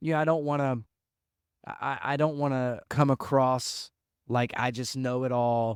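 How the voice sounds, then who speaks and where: A man speaks at a moderate pace with fairly even intonation and a medium pitch, recorded with a dry, close sound and no echo. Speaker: podcast co-host. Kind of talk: casual chat. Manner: loud; intense, expressive.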